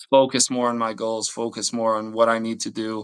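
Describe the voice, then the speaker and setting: A man speaks with a Bosnian accent at a moderate pace. His tone is bright and sharp, and the recording is very clean with a silent background. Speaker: Olympic athlete. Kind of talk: interview. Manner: halting.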